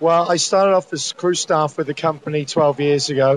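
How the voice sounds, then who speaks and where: A man with a British accent speaks at a fairly quick pace in a fairly high pitch with monotone, flat intonation. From UK. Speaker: cruise director. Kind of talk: interview. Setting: aboard a cruise ship.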